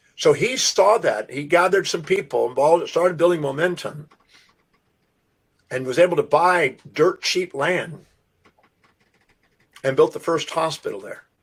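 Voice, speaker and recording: A high-pitched man with an American accent, ordinary pitch variation, a moderate pace and long, frequent pauses. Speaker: self-development speaker. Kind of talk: podcast interview storytelling.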